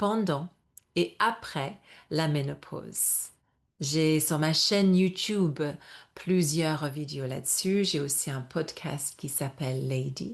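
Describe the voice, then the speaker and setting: Very slow, very deep and low woman's voice with an English accent, against a quiet background. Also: ordinary pitch variation. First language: English (speaking French). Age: 50s. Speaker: yoga and menopause coach. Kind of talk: webinar presentation. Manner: halting, self-correcting.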